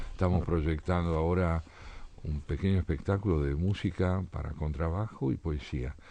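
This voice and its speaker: This man has a very deep, low voice with a dark, mellow tone. He keeps a moderate pace and fairly even intonation. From Argentina. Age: 70s. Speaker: essayist and poet. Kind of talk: radio interview.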